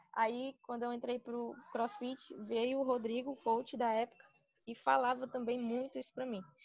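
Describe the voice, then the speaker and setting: Fairly even intonation and a moderate pace from a woman speaking high in her range. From Sobral, Ceará, Brazil. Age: 20s. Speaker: physical education student and gym intern. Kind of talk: personal testimony interview.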